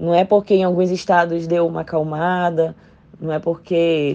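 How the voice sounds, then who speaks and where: Dark and mellow in tone, the delivery stays monotone and flat in intonation. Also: woman. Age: 20s. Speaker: doctor. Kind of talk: testimony.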